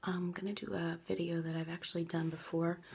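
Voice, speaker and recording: A woman speaks softly. Her pitch is fairly low. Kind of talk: ASMR makeup tutorial. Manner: soft-spoken, quiet.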